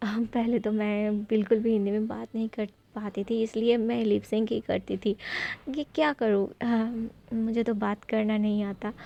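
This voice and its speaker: The voice has a non-native accent and a dark, mellow tone. Its intonation is monotone and flat. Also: woman. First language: not Hindi (speaking Hindi). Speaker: beauty vlogger. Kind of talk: makeup tutorial vlog. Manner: halting, many fillers.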